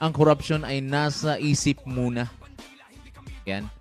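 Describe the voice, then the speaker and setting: With music in the background, a man talks at a very slow pace in a fairly high pitch. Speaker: radio commentator / host. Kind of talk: live radio commentary, preaching-style.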